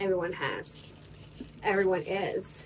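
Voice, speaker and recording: With light background noise behind her, a woman speaks at a fairly slow pace. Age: 20s. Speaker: lifestyle vlogger. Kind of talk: casual vlog talk. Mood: relaxed, chatty.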